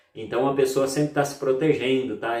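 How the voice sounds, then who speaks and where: Fairly high male speech with ordinary variation in pitch. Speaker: EFT therapist and YouTuber. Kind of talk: self-help tutorial. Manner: playful, upbeat today.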